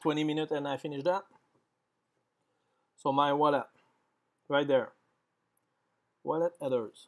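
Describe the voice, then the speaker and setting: A man with a French accent and a fairly high pitch speaks at a moderate pace with fairly even intonation and long, frequent pauses. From France. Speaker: software developer streamer. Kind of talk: live coding stream. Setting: live stream. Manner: halting.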